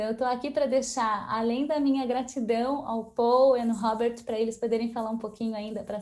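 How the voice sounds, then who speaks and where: At a moderate pace, a woman with a high pitch and a dark, mellow tone speaks in a monotone, flat intonation. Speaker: event host and founder of a collaboration organization. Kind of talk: closing remarks at online event. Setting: online video event.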